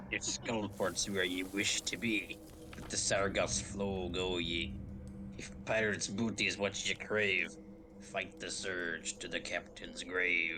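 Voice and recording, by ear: A man uses a put-on character voice, fairly low in pitch. He speaks at a fairly slow pace over loud background noise.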